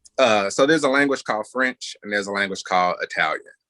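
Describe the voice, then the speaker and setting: The recording of a man with an Indiana accent sounds dry and close, with no echo. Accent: speaks like someone from Gary, Indiana. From US Midwest, Gary, Indiana. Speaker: panelist, activist media creator. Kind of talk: panel discussion. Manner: animated, casual.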